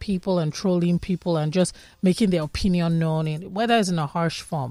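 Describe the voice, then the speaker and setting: Music plays in the background as a woman speaks. Her pitch is fairly low and her pace moderate. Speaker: radio host. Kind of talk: radio interview.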